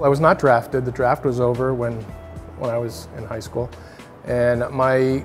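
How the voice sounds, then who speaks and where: Faint music plays behind a man speaking at a fairly quick pace with fairly even intonation. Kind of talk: interview answer. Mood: reflective, relaxed. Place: hall.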